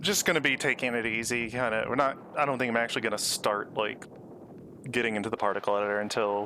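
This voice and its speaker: The man's tone is bright and sharp. His intonation stays fairly even. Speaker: streamer. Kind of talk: casual live stream chat. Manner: quiet, low-key for now; hesitant, many fillers.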